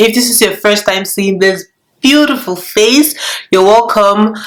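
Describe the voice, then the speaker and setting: Moderate pacing in a Nigerian accent, with ordinary pitch variation and audible room echo. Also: woman. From Nigeria, Lagos. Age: 20s. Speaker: YouTuber. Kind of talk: casual vlog chat. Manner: casual, halting with fillers.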